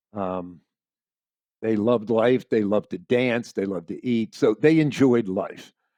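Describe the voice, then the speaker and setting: With an American accent, a man speaks at a fairly slow pace in a medium pitch, his dark, mellow tone carrying lively intonation in a dry, close sound with no echo and a quiet background. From Pennsylvania. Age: 70s. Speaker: amputee athlete and public speaker. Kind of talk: casual interview.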